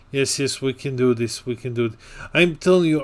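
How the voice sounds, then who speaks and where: On a very clean recording with a silent background, a man with a non-native accent talks at a moderate pace, his medium pitch showing ordinary variation. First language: not English. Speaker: card game commentator. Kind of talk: live commentary. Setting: livestream.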